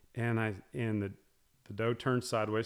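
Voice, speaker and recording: Recorded very cleanly with a silent background, a man speaks in a fairly low pitch. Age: 40s. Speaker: business school dean. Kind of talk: casual chat.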